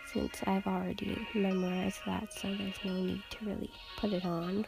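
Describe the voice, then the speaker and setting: A woman is talking. Behind her, music can be heard. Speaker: student. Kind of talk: casual voiceover for a bullet journal plan-with-me video. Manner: monotone.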